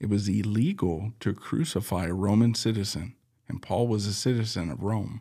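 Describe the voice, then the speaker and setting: Over a silent background in a very clean recording, a man speaks at a moderate pace. His pitch is fairly low, his tone dark and mellow, with ordinary pitch variation. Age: 40s. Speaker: pastor and podcast host. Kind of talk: casual Bible teaching chat. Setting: studio.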